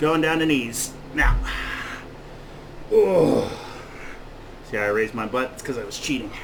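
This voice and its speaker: A man speaks at a moderate pace with long, frequent pauses, over noticeable background noise and audible room echo. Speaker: personal trainer. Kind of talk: workout instruction. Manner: loud; out of breath.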